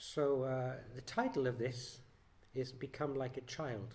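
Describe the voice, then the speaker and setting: The voice is somewhat breathy and moves at a fairly slow pace. Audible room echo surrounds it. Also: man. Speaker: lay preacher. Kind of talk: sermon. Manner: soft-spoken.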